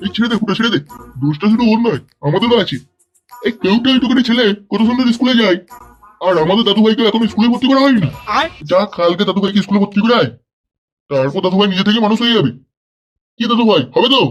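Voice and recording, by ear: In a cartoonish character voice, a man talks at a very fast pace with a high pitch. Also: ordinary pitch variation.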